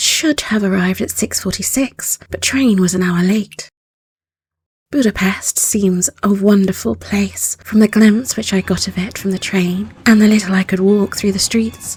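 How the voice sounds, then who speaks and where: A woman's medium-pitched, somewhat breathy voice, with fairly even intonation and a moderate pace. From southern England. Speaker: audiobook narrator. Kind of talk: audiobook narration. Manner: calm.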